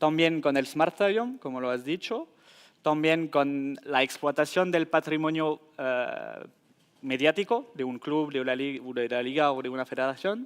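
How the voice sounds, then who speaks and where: A man speaks with a French accent at a fairly slow pace. His pitch is fairly high, with ordinary variation. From France. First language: French (speaking Spanish). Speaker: tech company sports data specialist. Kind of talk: conference panel answer. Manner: halting, with fillers and restarts.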